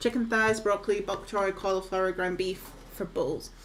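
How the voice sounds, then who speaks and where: A woman speaks at a moderate pace in a relaxed tone, her intonation fairly even. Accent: Scottish. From northeast Scotland. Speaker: video game streamer. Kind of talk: casual livestream chat. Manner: chatty, relaxed.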